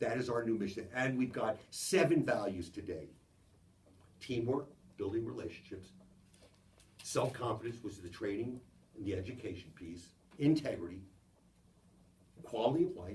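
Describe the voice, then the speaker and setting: A man with a medium pitch and lively intonation speaks at a moderate pace, somewhat breathy, with long, frequent pauses and audible room echo. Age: 70s. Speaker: business executive giving a talk. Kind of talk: motivational business talk to a small audience.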